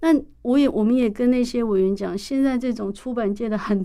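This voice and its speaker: In a Taiwanese accent, a woman speaks with a dark, mellow tone and ordinary pitch variation. The recording is very clean, with a silent background. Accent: Taiwanese Mandarin. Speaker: university professor and author. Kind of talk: interview. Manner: hesitant, many fillers.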